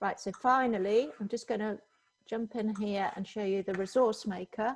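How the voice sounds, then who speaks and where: In a normal speaking voice, a woman talks at a moderate pace with fairly even intonation. Her pitch sits fairly high. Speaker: software trainer. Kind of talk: tutorial. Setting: video call.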